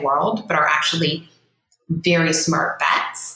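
Room echo is audible as a woman speaks with an American accent. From US, Rust Belt (second poorest city). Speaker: entrepreneur, online publication founder. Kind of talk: interview. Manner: animated.

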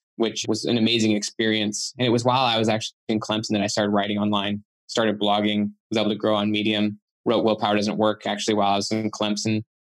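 A man's fairly low voice with a Western US accent, very fast and monotone, at very even loudness, in a dry, close sound with no echo. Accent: American, Western US. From Utah, US. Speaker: author and psychologist. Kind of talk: interview.

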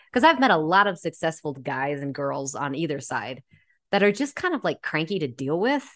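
Against a quiet background, a woman speaks at a very deep, low pitch with very wide pitch swings. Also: moderate pace. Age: 30s. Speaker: podcast host. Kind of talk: casual interview chat.

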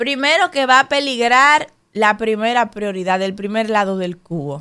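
A woman with a Dominican accent uses lively intonation at a fairly high pitch, speaking at a fairly slow pace. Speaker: radio co-host. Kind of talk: casual chat.

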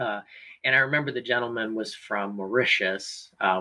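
A man speaks in an ordinary speaking voice at a moderate pace. His pitch is medium with ordinary variation. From US South, Virginia (Hanover County near Richmond). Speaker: school community partnerships coordinator. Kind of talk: interview. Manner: uses filler words (um, uh).

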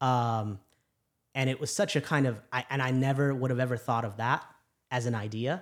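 A man with an American accent speaks in a normal speaking voice at medium pitch and a moderate pace, with fairly even intonation, in a very clean recording with a silent background. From US Midwest, Chicago. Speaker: physician. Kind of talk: casual chat.

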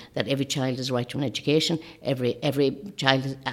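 Her pitch is very deep and low for a woman, and she speaks with a north-west Irish accent. This woman talks at a very fast pace. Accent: Irish (north-west, Leitrim). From Ireland, County Leitrim. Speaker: election candidate. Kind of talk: interview.

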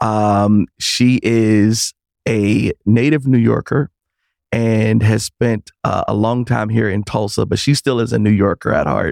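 A man with a normal speaking voice talks at a fairly slow pace and fairly low pitch, his intonation fairly even, in a dry, close sound with no echo. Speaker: podcast host. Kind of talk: casual interview.

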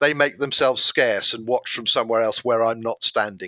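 In a British accent, a man talks at a fairly quick pace with a bright, sharp tone and ordinary pitch variation, in a dry, close sound with no echo on a very clean recording with a silent background. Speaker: explosives expert. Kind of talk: interview.

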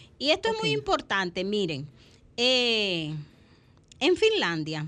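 A woman's medium-pitched, bright, sharp voice at a fairly slow pace over a quiet background. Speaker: psychologist and family therapist. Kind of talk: radio talk show.

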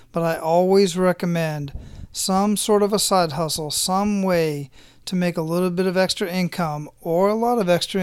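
An American accent marks the speech. Behind it the background is silent, on a very clean recording. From US Southwest, Phoenix. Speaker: podcast host. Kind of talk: casual interview.

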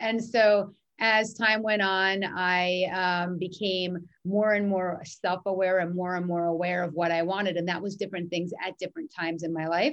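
A woman's plain, everyday voice with an American accent, medium in pitch, at a moderate pace with fairly even intonation. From New York. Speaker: mindset coach. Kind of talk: interview conversation.

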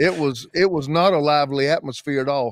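Ordinary pitch variation in a Southern US accent, dry and close with no echo. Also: man. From US South (South Carolina). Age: 50s. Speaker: pastor. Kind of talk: casual podcast interview. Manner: animated, energetic.

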